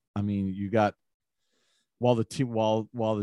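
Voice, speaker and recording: A man speaks in an unremarkable speaking voice at a fairly quick pace, with fairly low pitch. The sound is dry and close with no echo, and the background is quiet. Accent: American. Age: 50s. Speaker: sports broadcaster and podcast host. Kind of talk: casual sports talk.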